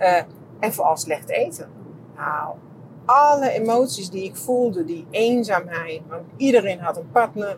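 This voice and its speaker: Noticeable background noise sits behind a woman who speaks fairly slowly at a medium pitch. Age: 50s. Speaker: podcaster and therapist. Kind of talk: casual monologue. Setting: walking outdoors.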